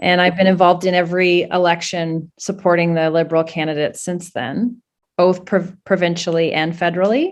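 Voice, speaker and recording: A normal speaking voice from a woman with a Canadian accent, fairly low in pitch, with fairly even intonation at a fairly quick pace. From Canada. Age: 50s. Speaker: political candidate. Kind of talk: interview.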